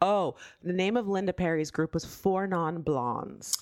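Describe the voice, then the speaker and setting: The woman is heard with a dry, close sound and no echo. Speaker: podcast co-host. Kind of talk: casual chat. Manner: animated.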